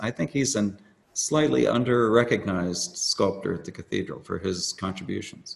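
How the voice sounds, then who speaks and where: With a normal speaking voice and an American accent, a man talks at a moderate pace. His pitch is fairly low and his intonation lively. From Washington, D.C. area. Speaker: sculptor. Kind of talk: interview.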